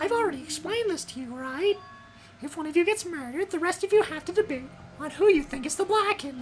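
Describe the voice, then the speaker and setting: A put-on character voice at a very fast pace over clear music in the background. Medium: fan dub. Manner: playful, mocking, theatrical.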